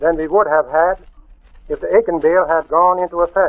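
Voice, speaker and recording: A high-pitched man with an American accent, at a moderate pace and with fairly even intonation. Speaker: farm union director. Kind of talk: radio talk on farm legislation. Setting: radio broadcast.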